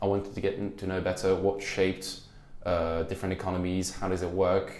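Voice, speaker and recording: Words tumble out very fast. The room adds audible echo. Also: man. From France. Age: young. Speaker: university student. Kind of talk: interview. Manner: halting.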